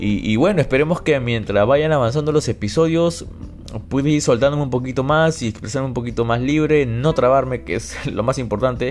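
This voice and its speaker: Noticeable background noise sits under the voice. The speech comes at a fairly quick pace with ordinary pitch variation. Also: man, medium pitch for a man. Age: 20s. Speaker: podcast host and university student. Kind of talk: casual solo podcast monologue. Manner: halting, with repeated words.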